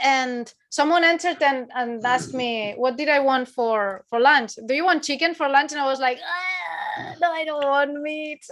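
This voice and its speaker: With a Spanish accent, a woman speaks at a high pitch and a moderate pace. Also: lively intonation, hardly any pauses. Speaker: horror channel interviewer. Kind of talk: casual interview chat.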